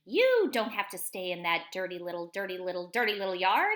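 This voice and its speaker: A woman's put-on character voice at a medium pitch, delivered at a fairly quick pace. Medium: read story. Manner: fast, repeats words.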